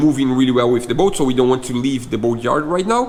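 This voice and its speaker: A man with a Portuguese accent talks at a very fast pace with ordinary pitch variation. Noticeable background noise is present. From Brazil. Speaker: boat builder and vlogger. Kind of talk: casual chat.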